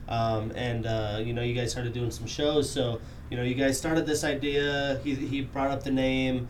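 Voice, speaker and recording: Audible room echo and noticeable background noise surround a man talking at a moderate pace in a medium-pitched, monotone, flat voice. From Wyoming. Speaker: podcast host. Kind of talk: casual interview.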